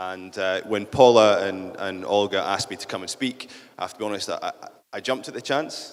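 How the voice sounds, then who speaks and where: Talking at a fairly quick pace, a man keeps his pitch fairly low. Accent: Scottish. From central Scotland. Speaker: business leader. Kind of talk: conference talk.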